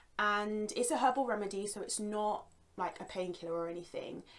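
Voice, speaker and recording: At a fairly quick pace, a woman with a London accent speaks at a medium pitch with ordinary pitch variation. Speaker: yoga instructor. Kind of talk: guided yoga class; product recommendation. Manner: calm, soothing; casual, chatty.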